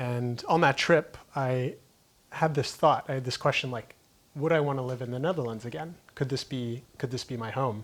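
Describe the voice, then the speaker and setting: A man with a Florida accent and ordinary pitch variation. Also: medium pitch for a man, moderate pace. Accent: American (Florida). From US, Key West, Florida. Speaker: entrepreneur. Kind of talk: interview conversation.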